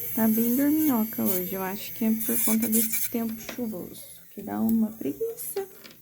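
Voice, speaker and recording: Soft-spoken, a woman talks at a moderate pace. Her pitch is fairly high, with ordinary variation. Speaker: nail technician instructor. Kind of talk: tutorial.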